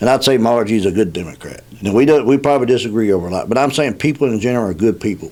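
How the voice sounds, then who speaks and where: A man with a Kentucky accent talks at a very fast pace in a medium pitch, with ordinary pitch variation and hardly any pauses. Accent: Kentucky (US South). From Kentucky, Nelson County. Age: 60s. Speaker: political candidate. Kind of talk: radio interview. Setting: radio studio. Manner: halting, many fillers.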